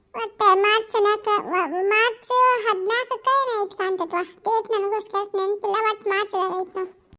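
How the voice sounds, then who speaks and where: Putting on a character voice, a woman speaks at an extremely high pitch with fairly even intonation at a moderate pace. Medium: solo performance. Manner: chatty, rambling.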